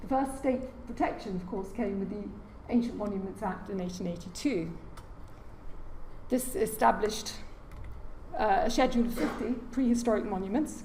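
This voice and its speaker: A British accent carries ordinary pitch variation, broken by long, frequent pauses. Audible room echo and noticeable background noise surround the speech. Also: woman, fairly high pitch for a woman, moderate pace. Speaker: heritage lecturer. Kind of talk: lecture. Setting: lecture hall with audience.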